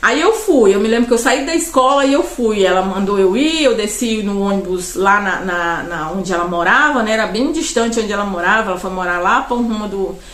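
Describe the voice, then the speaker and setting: Lively intonation from a woman with a fairly high voice, amid audible room echo and noticeable background noise. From Brazil, Pará. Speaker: vlogger. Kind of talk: personal storytelling monologue. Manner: loud; rambling, conversational with fillers.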